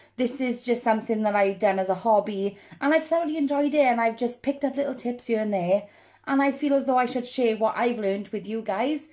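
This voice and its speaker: Speaking fairly quickly, a woman has a high voice with a dark, mellow tone and a Welsh accent. Her pitch varies in an ordinary way. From South Wales. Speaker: makeup hobbyist vlogger. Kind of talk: tutorial. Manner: animated.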